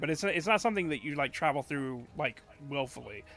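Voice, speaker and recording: A man speaks loudly in a bright, sharp tone with ordinary pitch variation. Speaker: streamer. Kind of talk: casual chat. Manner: halting.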